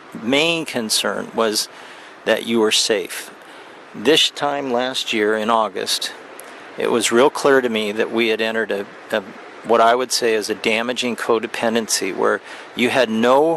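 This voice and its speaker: The speech runs at a fairly slow pace with fairly even intonation. Noticeable background noise sits behind it. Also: man, medium pitch for a man. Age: 60s. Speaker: vlogger. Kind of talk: personal video message. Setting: outdoors. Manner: halting.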